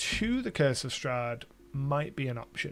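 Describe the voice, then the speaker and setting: A man's very slow speech with music in the background. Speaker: tabletop RPG YouTuber and game master. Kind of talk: casual livestream chat. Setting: livestream. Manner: conversational, with fillers and self-corrections.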